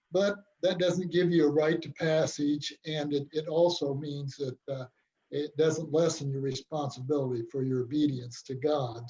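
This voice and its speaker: A somewhat breathy voice with an American accent, dark and mellow in tone, with ordinary pitch variation at a moderate pace. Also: man. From US Midwest, rural Illinois (Pike County). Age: 70s. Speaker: church member sharing his conversion story. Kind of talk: testimony. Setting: video call.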